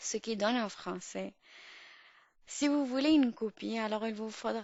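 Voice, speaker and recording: A woman with an Urdu accent, fairly high pitch, ordinary pitch variation and a fairly slow pace. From Pakistan. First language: Urdu (speaking French). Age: 20s. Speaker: podcast host. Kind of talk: podcast monologue. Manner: halting, many fillers and restarts.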